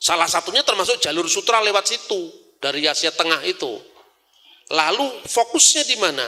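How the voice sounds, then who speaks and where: A man speaks at a moderate pace with a Javanese accent. Noticeable background noise runs under his voice. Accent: Javanese accent when speaking Indonesian. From Java, Indonesia. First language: Javanese (speaking Indonesian). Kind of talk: religious lecture.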